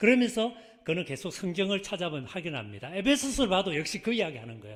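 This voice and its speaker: With a Gyeongsang accent, a man speaks in a high pitch with very wide pitch swings. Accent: Gyeongsang dialect, trouble pronouncing 의. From South Korea, Busan (Gyeongsang). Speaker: pastor. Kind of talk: sermon.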